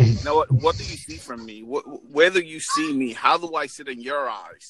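Music sits in the background as a man speaks with an American accent. His pace is fairly quick. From New York. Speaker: motivational speaker, military veteran. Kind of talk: casual chat.

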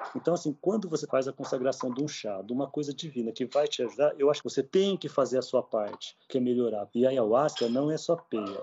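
Pitch moves in an ordinary way. The recording holds an unremarkable speaking voice. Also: man, medium pitch for a man, fairly quick pace, hardly any pauses. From interior of São Paulo state, Brazil (São José do Rio Preto). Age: 50s. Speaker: ayahuasca ceremony leader and therapist, former pastor. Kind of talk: personal testimony interview.

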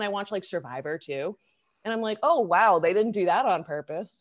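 Speaking at a fairly quick pace, a woman uses an ordinary speaking voice at a medium pitch with lively intonation, recorded very cleanly against a silent background. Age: 20s. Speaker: podcast co-host. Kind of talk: casual chat.

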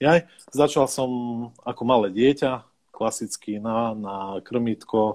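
A man at a medium pitch with ordinary pitch variation and a very slow pace, in a very clean recording with a silent background. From southern central Slovakia, near Hungarian border. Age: 30s. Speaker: carp angler. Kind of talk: casual chat.

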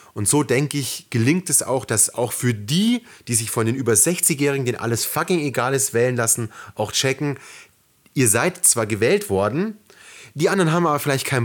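Lively intonation marks this man's speech, delivered at a fairly quick pace and a medium pitch. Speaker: podcast co-host. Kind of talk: casual chat. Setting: sitting very close to co-host on one mic.

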